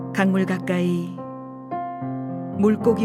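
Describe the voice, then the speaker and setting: A woman's very deep, low voice in a calm, soothing tone, with very wide pitch swings, a fairly slow pace and music in the background. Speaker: voice actor. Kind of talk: poetry reading. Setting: studio, recorded live with piano accompaniment. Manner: calm, soothing, expressive.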